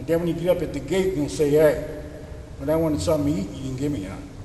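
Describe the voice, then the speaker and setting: There is noticeable background noise and audible room echo as a man with an American accent talks at a fairly high pitch with ordinary pitch variation. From Pittsburgh, US. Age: 70s. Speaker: deacon. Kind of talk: sermon. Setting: church. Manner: casual, folksy.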